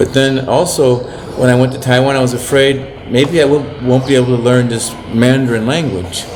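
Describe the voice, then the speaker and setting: A man with an American accent talks at a moderate pace in a medium pitch. The room has audible echo, and noticeable background noise is present. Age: 70s. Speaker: missionary priest. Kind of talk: casual talk to camera. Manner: halting.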